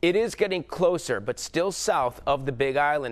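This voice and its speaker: A man with an American accent and an unremarkable speaking voice, at a moderate pace with ordinary pitch variation. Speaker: TV weather forecaster and host. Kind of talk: TV weather forecast delivered to camera. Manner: upbeat, chatty, jokey.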